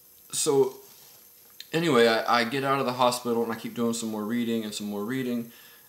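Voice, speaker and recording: This man talks with fairly even intonation and long, frequent pauses over noticeable background noise. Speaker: spiritual vlogger. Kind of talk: personal testimony. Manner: halting, many fillers and repeats.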